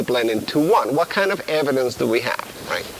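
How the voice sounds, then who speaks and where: With noticeable background noise behind him, a man talks in a Spanish accent at a fairly high pitch. His voice makes very wide pitch swings. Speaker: biology professor. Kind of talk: lecture. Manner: halting. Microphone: poor audio quality at times.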